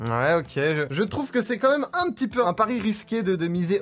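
A man's speech moves at a moderate pace, and his intonation is lively. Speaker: video creator. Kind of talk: casual commentary debate. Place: home room. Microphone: studio mic.

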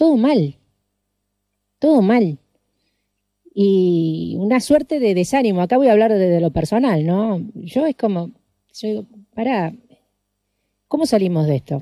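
A woman with a dark, mellow tone speaks at a fairly slow pace, with long, frequent pauses. Her pitch swings very widely, and the sound is dry with no echo. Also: quiet background. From Argentina, San Lorenzo (Santa Fe). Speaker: radio host. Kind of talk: radio interview. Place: studio.

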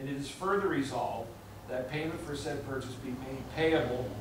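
A man is heard with audible room echo. Noticeable background noise runs behind him. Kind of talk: formal reading of resolution. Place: meeting room.

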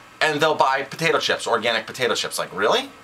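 A man talks at a very fast pace with light background noise behind him. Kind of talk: casual discussion commentary. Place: office. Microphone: webcam.

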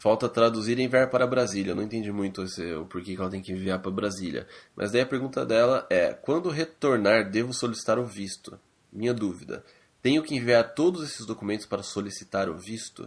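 A man's a plain, everyday voice, medium in pitch, at a fairly quick pace with ordinary pitch variation. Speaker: podcast co-host. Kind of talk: casual chat. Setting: Skype call.

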